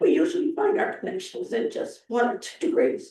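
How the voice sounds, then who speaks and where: A man speaks at an extremely high pitch in a dark, mellow tone. His pace is moderate, and audible room echo fills the recording. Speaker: public commenter at city council meeting. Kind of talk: public comment speech. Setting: city council meeting.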